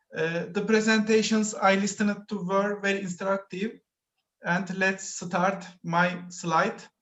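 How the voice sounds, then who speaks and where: A man with a high-pitched voice and a Turkish accent, fairly slow, in a flat monotone. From Turkey. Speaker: PhD student presenter. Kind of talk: conference presentation. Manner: halting.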